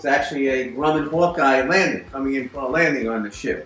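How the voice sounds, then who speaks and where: With music in the background and audible room echo, a man talks at a fairly quick pace in a fairly high voice with ordinary pitch variation. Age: 60s. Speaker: hobbyist model builder. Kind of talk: show-and-tell narration. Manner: casual with fillers.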